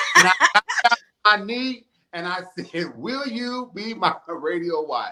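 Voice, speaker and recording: Raising and projecting his voice, a man speaks with a high pitch and lively intonation. His pace is fairly slow, and his loudness swings widely. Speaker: radio talk show host. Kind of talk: casual interview.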